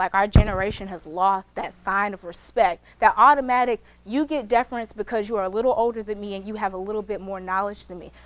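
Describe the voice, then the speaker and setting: Fairly quick and barely pausing, a woman speaks in a fairly high, animated voice with big swings in loudness. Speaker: law student speaker. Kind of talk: motivational talk. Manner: fast.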